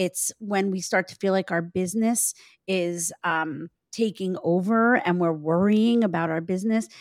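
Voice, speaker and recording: In a very clean recording with a silent background and a dry, close sound with no echo, a woman speaks in a normal speaking voice at medium pitch, moderate pace and ordinary pitch variation. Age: 50s. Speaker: life and business coach. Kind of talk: casual chat.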